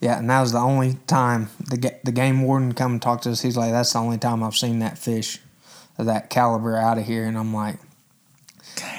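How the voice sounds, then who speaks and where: A man with an American accent talks at a fairly quick pace and medium pitch. He has a plain, everyday voice with fairly even intonation. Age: 20s. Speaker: angler. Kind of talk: casual chat.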